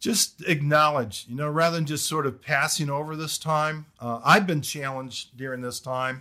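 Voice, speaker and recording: A man's fairly high voice with an American accent, bright and sharp in tone, hardly any pauses, on a very clean recording with a silent background. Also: fairly even intonation, moderate pace. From US Midwest, Detroit area, Michigan. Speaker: theology professor and former pastor. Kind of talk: casual interview.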